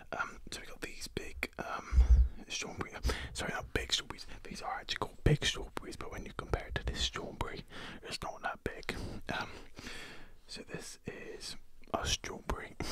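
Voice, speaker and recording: Whispering at a moderate pace, a man leaves long, frequent pauses. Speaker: food video creator. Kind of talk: casual vlog chat. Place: home room. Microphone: studio mic.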